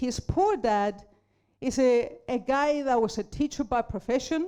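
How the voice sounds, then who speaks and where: Speaking at a fairly slow pace, a woman uses a high pitch, lively intonation and very even loudness. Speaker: business speaker and mentor. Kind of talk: motivational talk. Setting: stage with audience.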